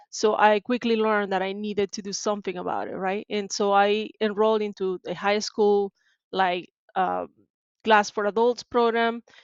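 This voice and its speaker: A woman with a Spanish accent, at a moderate pace and in a monotone, flat intonation. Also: medium pitch for a woman. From Venezuela, Maracaibo. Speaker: tech sales support professional. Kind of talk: podcast interview.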